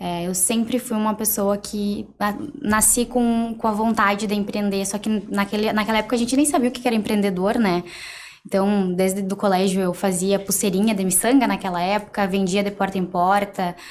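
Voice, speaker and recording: Fairly even intonation and a moderate pace in a normal speaking voice. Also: woman, medium pitch for a woman. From Rio Grande do Sul, Brazil (Cacequi). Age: 20s. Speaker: entrepreneur, mentee. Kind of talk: interview podcast.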